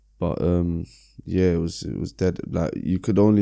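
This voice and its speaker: A man with a London accent speaks at a moderate pace in a very deep, low pitch with a dark, mellow tone. His intonation is flat and monotone, on a very clean recording with a silent background. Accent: London multicultural English. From London (Brixton). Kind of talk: casual interview chat.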